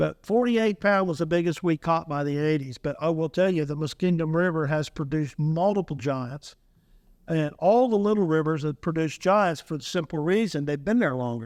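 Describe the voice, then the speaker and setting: On a very clean recording with a silent background, a man talks fairly quickly in a plain, everyday voice pitched fairly high. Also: ordinary pitch variation. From Ohio. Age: 60s. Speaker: trapper and commercial fisherman. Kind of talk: casual podcast interview.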